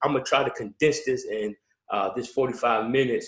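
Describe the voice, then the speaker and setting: The speaker is a man with a Baltimore accent. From Baltimore, Maryland. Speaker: pastor. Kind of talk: workshop presentation. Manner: hesitant, many fillers.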